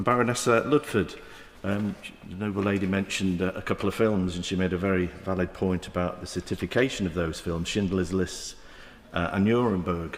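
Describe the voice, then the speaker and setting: A man talks at a fairly quick pace with a Manchester accent. His pitch is very deep and low, and his intonation fairly even. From south Manchester, England. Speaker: member of the House of Lords. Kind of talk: parliamentary debate speech. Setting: House of Lords chamber. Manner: halting, many fillers.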